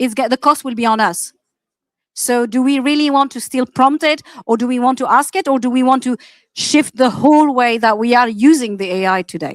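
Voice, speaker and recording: The speaker talks at a fairly quick pace with ordinary pitch variation, in an Arabic accent. The sound is dry and close, with no echo. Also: woman, high pitch for a woman. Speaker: AI practitioner, panelist. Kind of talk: panel discussion.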